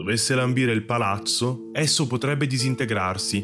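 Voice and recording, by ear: The voice is reading aloud in a natural voice.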